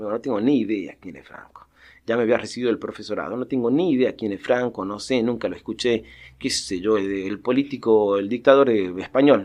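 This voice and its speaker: Over a quiet background, a man talks at a fairly quick pace with medium pitch. His pitch varies in an ordinary way while his loudness swings widely. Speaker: professor, researcher. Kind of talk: interview answer. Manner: hesitant, thoughtful.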